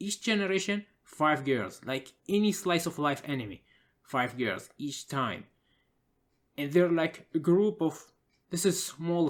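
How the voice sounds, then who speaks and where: On a very clean recording with a silent background, the speaker talks at a fairly slow pace with a non-native accent. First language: not English. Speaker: gaming commentator. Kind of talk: casual commentary monologue. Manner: halting, many filler uhs.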